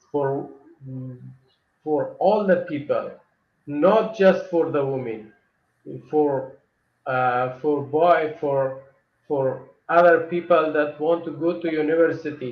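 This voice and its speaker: A man's fairly high voice at a very slow pace, with long, frequent pauses, ordinary pitch variation and audible room echo. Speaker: atheist asylum seeker. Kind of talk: interview. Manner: halting.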